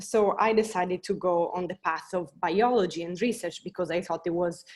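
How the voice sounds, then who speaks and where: The speaker talks with an Italian accent and fairly even intonation. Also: woman, medium pitch for a woman, moderate pace. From Italy. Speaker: biotech scientist. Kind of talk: panel talk. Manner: hesitant.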